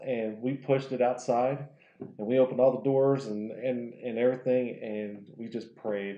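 In an American accent, a man speaks at a moderate pace with monotone, flat intonation. His loudness swings widely, and the room echo is audible. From Oklahoma, small town. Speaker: window tint installer; podcast guest. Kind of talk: casual chat. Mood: relaxed storytelling. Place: home room. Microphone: lapel.

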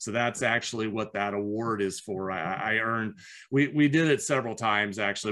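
Over a quiet background, a man with a US Midwestern accent, a fairly low pitch and a bright, sharp tone talks at a fairly quick pace. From US Midwest (Iowa). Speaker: business owner and entrepreneur coach; entrepreneur coach. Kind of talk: interview. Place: home room. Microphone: webcam.

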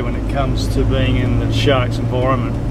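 A man talks fairly slowly. The recording is dry and echo-free, yet heavy noise fills the background. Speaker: travel vlogger. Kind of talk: casual vlog chat. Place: car.

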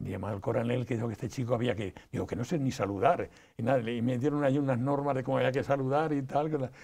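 A man talks at a very fast pace with a dark, mellow tone and ordinary pitch variation. The background is quiet. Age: 80s+. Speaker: interview guest. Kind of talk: interview; interview answer. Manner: halting, many repetitions. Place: studio. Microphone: lapel.

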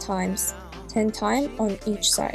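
A woman speaks at a fairly slow pace with a Russian accent. Clear music plays in the background. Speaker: ballet teacher. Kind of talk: workout instruction.

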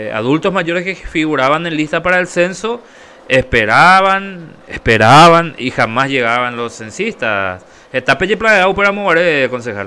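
A man's fairly high voice, very slow in pace, with very wide pitch swings. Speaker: radio co-host. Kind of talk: interview.

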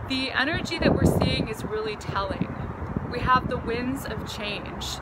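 There is loud background noise. A woman speaks at a fairly slow pace. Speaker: tarot reader. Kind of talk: casual vlog chat. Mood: warm, upbeat. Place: garden. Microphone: phone near.

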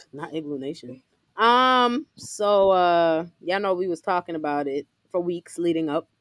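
An ordinary speaking voice from a woman, fairly low in pitch, at a moderate pace with lively intonation, in a dry, close sound with no echo. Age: 30s. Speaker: podcast co-host. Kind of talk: casual chat.

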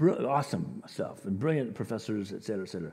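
A man talks fast with fairly low pitch, lively intonation, vocal fry, a slightly mellow tone and a slightly husky edge.

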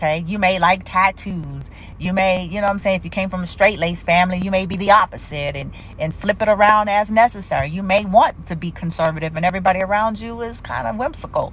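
The delivery is very fast and animated, with ordinary pitch variation. Music plays in the background. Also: woman, medium pitch for a woman, big swings in loudness. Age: 40s. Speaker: spiritual reader and live streamer. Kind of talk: casual livestream talk. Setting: social media livestream. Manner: animated, conversational.

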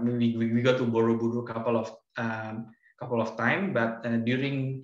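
Over a quiet background with audible room echo, a man with an Indonesian accent speaks at a moderate pace and medium pitch in a monotone, flat intonation. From Yogyakarta, Indonesia. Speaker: virtual tour guide. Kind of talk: casual virtual tour presentation. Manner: hesitant, conversational. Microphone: video call.

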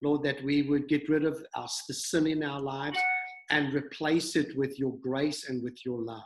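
With music in the background, a man talks at a moderate pace in a fairly high, monotone voice with flat intonation. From New Zealand. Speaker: church pastor and video host. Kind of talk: interview chat and prayer. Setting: video call. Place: home room. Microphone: video call.

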